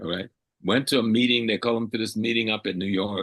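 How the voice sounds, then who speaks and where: This man talks at a fairly low pitch. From US South, coastal South Carolina. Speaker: historian and Pan-African scholar. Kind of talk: radio interview. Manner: animated.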